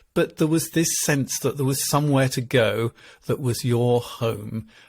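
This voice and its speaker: A man with an English accent sounds somewhat breathy, with ordinary pitch variation. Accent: very English. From England. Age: 60s. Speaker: marital therapist. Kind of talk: interview conversation.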